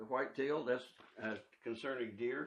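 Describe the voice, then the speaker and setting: A man speaks with a Midwestern US accent at a moderate pace. His pitch varies in an ordinary way. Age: 80s+. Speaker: barber. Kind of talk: casual chat. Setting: barbershop.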